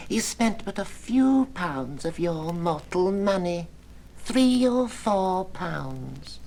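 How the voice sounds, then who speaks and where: Speech comes very slowly in a put-on character voice. The pitch sits in the middle range. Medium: audio drama. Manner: calm, detached.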